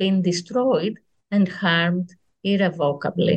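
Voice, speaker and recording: Speaking in a Greek accent, a woman has a medium pitch and a somewhat breathy voice. Her pace is fairly slow. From Greece, Athens. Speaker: history professor. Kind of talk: reading aloud; interview. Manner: hesitant, many fillers.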